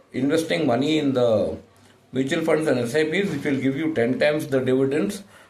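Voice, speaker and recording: A fairly high-pitched man at a moderate pace, with audible room echo. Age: 60s. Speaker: insurance agent. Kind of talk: sales pitch. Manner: halting, many fillers.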